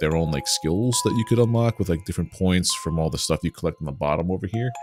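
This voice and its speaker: Very deep, low male voice with an American accent and lively intonation, dry and close with no echo, over music in the background. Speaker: gaming streamer. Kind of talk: live gameplay commentary. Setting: livestream.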